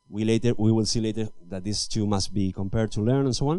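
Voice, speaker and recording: A man talks at a fairly quick pace with a fairly low pitch and a dark, mellow tone. Audible room echo surrounds his voice. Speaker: engineering manager giving a talk. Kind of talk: conference talk. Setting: stage with audience. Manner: fast; halting, with false starts.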